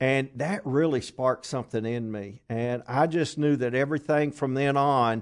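Against a quiet background, a man talks with a Kentucky accent. His pitch is medium and his pace moderate. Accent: Southern US (Kentucky). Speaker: traveling minister. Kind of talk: casual interview chat.

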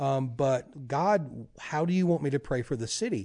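With a Louisiana accent, a man speaks in a dark, mellow tone at a fairly high pitch, with ordinary pitch variation and a quiet background. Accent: Louisiana Southern US. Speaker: prayer ministry leader. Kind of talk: interview chat.

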